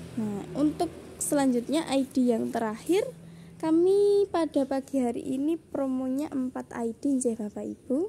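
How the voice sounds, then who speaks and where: A woman's high-pitched voice with a dark, mellow tone, fairly slow and lively in intonation, over light background noise. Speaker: online orchid seller. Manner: repetitive, enthusiastic, persuasive. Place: garden. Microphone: phone near.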